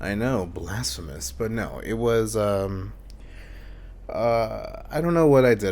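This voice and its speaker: A man talks at a fairly low pitch, his voice picking up audible room echo. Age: 20s. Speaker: YouTuber. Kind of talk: personal testimony, unedited monologue. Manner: hesitant, many ums.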